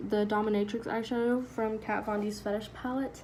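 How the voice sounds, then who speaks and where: Audible room echo surrounds a woman's fairly high voice. Her intonation stays fairly even. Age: young. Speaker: beauty vlogger. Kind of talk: tutorial.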